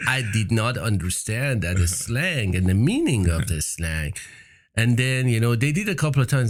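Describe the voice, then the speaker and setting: Somewhat breathy, a man with a Persian accent speaks at a fairly quick pace. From Iran. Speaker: entrepreneur. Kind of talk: interview.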